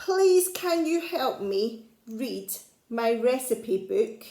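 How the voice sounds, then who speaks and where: Using a put-on character voice, a woman speaks very slowly at a high pitch. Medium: read story. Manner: polite, gentle.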